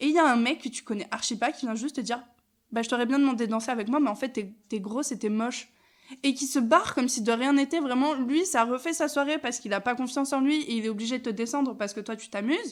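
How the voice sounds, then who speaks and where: A woman's high, animated voice at a very fast pace, with hardly any pauses, ordinary pitch variation and big swings in loudness. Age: 20s. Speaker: podcast host. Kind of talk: casual chat.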